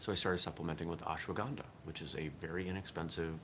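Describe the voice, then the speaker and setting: A man speaks at a very deep, low pitch and a fairly quick pace. His intonation stays fairly even, and the room echo is audible. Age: 40s. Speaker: daily podcast host and martial arts instructor. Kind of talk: casual solo monologue. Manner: casual, slightly halting with fillers.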